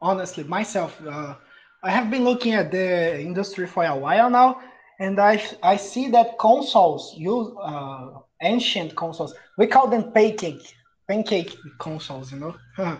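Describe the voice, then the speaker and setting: A high-pitched man with a Brazilian accent and lively intonation. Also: moderate pace. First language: Portuguese. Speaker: podcast co-host. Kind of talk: casual chat, podcast recording.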